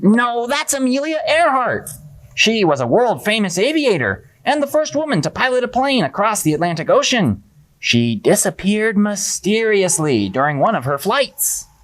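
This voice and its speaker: Someone does a fairly high cartoonish character voice with very wide pitch swings at a moderate pace. The recording is very clean, with a silent background. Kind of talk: puppet show performance. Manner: upbeat, determined.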